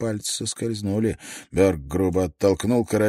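Here is someone reading aloud in a natural voice. The intonation stays fairly even.

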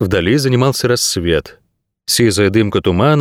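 Text read aloud plainly, with a quiet backdrop

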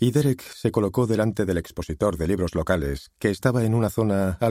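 Text read aloud plainly

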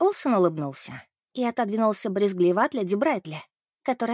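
Reading aloud in a natural voice over a quiet background.

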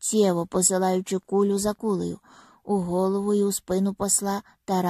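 What we hear is a natural reading voice.

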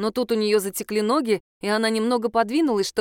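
The background stays quiet. Here a passage is read aloud in a natural voice, with intonation that is fairly even.

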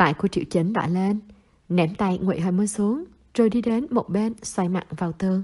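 This is a natural reading voice. The words are read in a natural reading voice.

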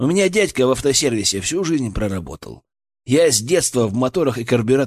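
A quiet background behind plain reading aloud.

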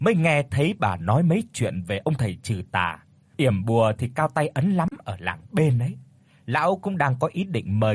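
The delivery is plain reading aloud. Nothing more is added to it.

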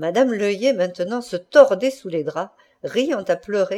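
Someone reads aloud here in a natural voice.

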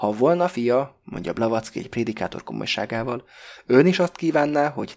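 The voice is reading aloud in a natural voice.

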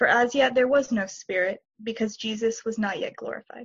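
At a moderate pace, a woman with an unremarkable speaking voice and a fairly high pitch speaks with ordinary pitch variation. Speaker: congregation member reading scripture. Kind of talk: scripture reading.

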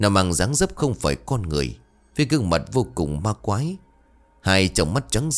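The speaker reads in an unforced voice.

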